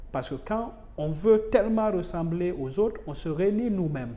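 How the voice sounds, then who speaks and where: A man speaks with a Guinean accent, his pitch high and his tone dark and mellow. His intonation is lively, the pace fairly slow, and the room echo is audible. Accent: Guinean accent, noticeable. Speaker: university lecturer. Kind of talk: interview conversation. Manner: hesitant with fillers.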